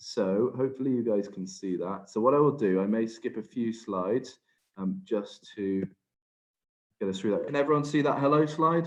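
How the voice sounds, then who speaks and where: A man talks at a moderate pace in a Welsh accent. His medium-pitched voice has lively intonation. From Wales. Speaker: HR and workplace safety advisor. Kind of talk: webinar presentation. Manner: hesitant, many fillers.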